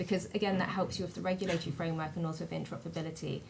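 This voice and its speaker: A woman speaks with a British accent. Room echo is audible. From Britain. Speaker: digital identity panelist. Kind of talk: panel discussion. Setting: conference stage with audience.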